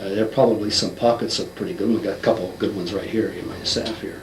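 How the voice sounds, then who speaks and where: Through audible room echo and noticeable background noise, a man is heard speaking. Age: 60s. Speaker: lecturer on a social theory. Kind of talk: interview. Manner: animated.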